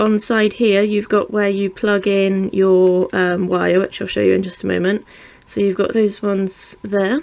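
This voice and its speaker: A woman talks with a British accent. Her intonation stays monotone and flat. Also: medium pitch for a woman, moderate pace. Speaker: YouTuber reviewing products. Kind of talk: unboxing tutorial. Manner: casual, with filler ums.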